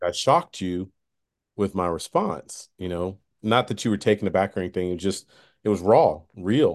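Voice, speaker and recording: Over a quiet background, a man talks at a moderate pace in a fairly low pitch with ordinary pitch variation. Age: 50s. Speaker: podcast co-host, coach. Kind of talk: casual chat.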